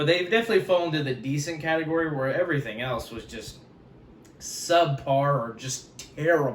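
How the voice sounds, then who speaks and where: Ordinary pitch variation and a fairly quick pace come through with audible room echo. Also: man. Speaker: YouTuber, pop culture commentator. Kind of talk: casual commentary video.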